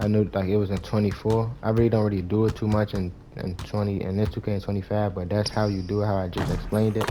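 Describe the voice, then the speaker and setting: Very fast and with hardly any pauses, a man speaks at a fairly low pitch. His intonation is monotone and flat, with noticeable background noise. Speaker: gaming YouTuber. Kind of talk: gameplay tutorial.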